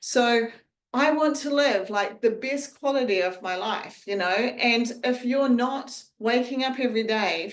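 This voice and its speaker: Speaking at a fairly slow pace, a woman sounds animated, with ordinary pitch variation and audible echo in the room. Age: 50s. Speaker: nutrition coach. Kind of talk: group coaching call.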